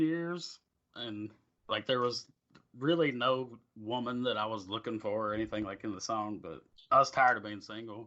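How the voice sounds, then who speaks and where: Quietly and at a moderate pace, a man with a Southern US accent speaks at a medium pitch with ordinary pitch variation. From southwest Virginia. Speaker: country singer-songwriter. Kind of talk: interview answer. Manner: quiet, reserved.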